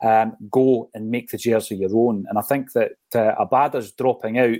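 A man speaks with a Scottish accent in a dark, mellow tone at a fairly quick pace. The recording is very clean with a silent background, and the sound is dry and close with no echo. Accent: Scottish (Fife). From Scotland, Fife. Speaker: football podcast host. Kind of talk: casual chat.

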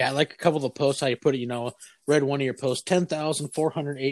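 A man rattles along at a very fast pace in a fairly high pitch, the sound dry and close with no echo. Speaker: podcast host. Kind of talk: casual interview.

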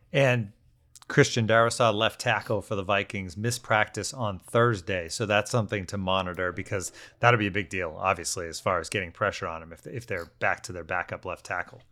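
Here is a man with an ordinary speaking voice, fairly low in pitch, at a fairly quick pace with ordinary pitch variation. His loudness swings widely on a very clean recording with a silent background. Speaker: podcast host covering the Jets. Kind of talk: casual sports chat.

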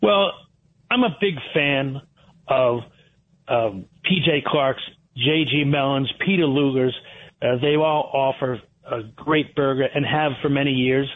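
With an American accent, a man speaks very slowly at a fairly high pitch, with ordinary pitch variation, very even loudness and long, frequent pauses. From Connecticut, Fairfield County. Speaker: restaurant owner. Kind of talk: radio interview.

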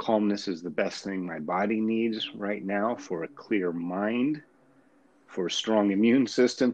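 In a normal speaking voice, a man talks at a fairly slow pace and a fairly low pitch, with ordinary pitch variation. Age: 50s. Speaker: author, wheelchair user. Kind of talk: casual spiritual discussion. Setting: phone or remote line.

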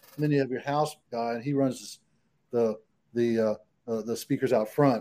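The speaker has a Texan accent and a dark, mellow tone. The pace is fairly quick, with ordinary pitch variation. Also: man. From Texas, San Antonio. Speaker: country singer-songwriter. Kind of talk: casual interview chat.

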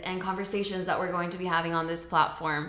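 There is noticeable background noise behind a woman of medium pitch with fairly even intonation. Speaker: podcast co-host. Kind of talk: casual chat.

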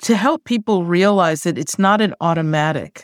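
A woman's moderately paced speech with fairly even intonation, dry and close with no echo, in a very clean recording with a silent background. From New York City (Queens). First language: Spanish. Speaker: tech diversity executive. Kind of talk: interview.

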